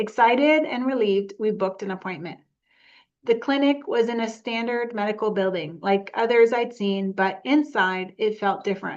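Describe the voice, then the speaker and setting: A woman's fairly high voice at a moderate pace, with ordinary pitch variation, over a quiet background. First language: not English. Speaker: memoir author. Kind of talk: reading aloud.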